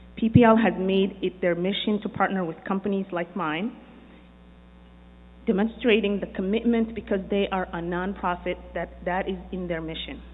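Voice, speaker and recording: Here a woman uses a normal speaking voice at medium pitch. Her intonation is fairly even and her pace moderate. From immigrant to the US. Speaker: business owner and developer. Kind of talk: prepared speech.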